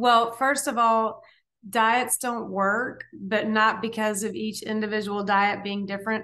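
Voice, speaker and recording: A woman's fairly high, bright, sharp voice with an American accent, fairly slow and monotone with flat intonation, over a quiet background. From US South. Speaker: dietitian and author; podcast guest. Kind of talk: interview. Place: home room. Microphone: video call.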